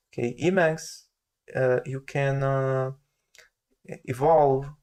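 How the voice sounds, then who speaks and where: Very slowly and in monotone, flat intonation, a man speaks with a non-native accent. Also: fairly high pitch for a man. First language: not English. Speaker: software developer. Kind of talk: tutorial. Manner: slow and steady; halting, many fillers.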